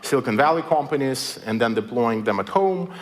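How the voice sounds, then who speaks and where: A man speaks at a medium pitch with a Belarusian accent. Noticeable background noise runs underneath. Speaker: writer and technology critic. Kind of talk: public lecture. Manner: many filler words (uh, um).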